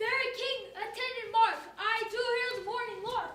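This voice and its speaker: A man does a put-on character voice, squeaky and extremely high-pitched, speaking at a moderate pace in a flat monotone, with clear background noise and a slight echo. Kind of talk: Shakespearean stage verse. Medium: stage play.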